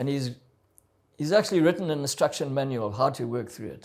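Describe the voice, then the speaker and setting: Medium-pitched man's voice with vocal fry, lively intonation and a moderate pace. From South Africa. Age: 70s. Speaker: adventurer and motivational speaker. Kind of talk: interview testimony.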